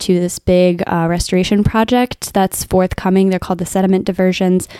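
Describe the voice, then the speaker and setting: A woman talks at a medium pitch in a dark, mellow tone. Her intonation is monotone and flat, and the sound is dry and close with no echo. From Northern Virginia, US. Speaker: podcast co-host, PhD student in oceanography. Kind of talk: casual chat.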